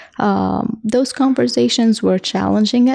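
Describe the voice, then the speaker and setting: A woman's dark, mellow tone in a dry, close sound with no echo. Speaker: engineer, podcast guest. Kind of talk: casual interview.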